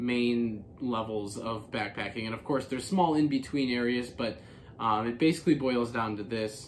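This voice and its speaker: A man at a moderate pace, ordinary pitch variation, light background noise. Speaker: hiker vlogger. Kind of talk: casual explainer vlog. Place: home room.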